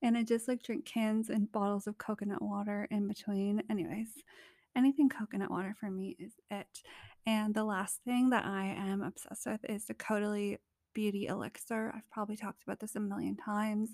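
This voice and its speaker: A woman speaks quietly at a fairly quick pace with a Canadian accent, her fairly high voice squeaky and her intonation fairly even. The sound is dry and close with no echo, on a very clean recording with a silent background. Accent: general Canadian. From Canada. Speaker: podcast host. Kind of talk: casual solo podcast monologue. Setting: vacation rental abroad. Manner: soft-spoken, laid-back, giggly.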